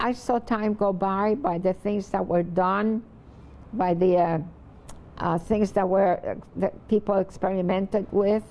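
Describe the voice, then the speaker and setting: Noticeable noise fills the background. The words come very slowly. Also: woman. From Puerto Rico (Vieques), then New York from age 12. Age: 90s. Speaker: poet. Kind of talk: reflective interview. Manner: halting, with frequent fillers.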